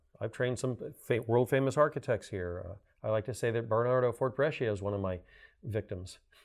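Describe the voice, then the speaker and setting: A man with an American accent speaks fairly quickly in a plain, everyday voice at a medium pitch. His pitch varies in an ordinary way, and the background is quiet. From US South, Miami, Florida. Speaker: climate advocate and adjunct green building lecturer. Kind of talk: interview.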